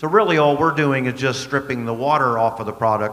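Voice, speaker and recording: With ordinary shifts in pitch, a man is talking. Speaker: speaker. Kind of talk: panel discussion answer. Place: stage. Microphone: handheld.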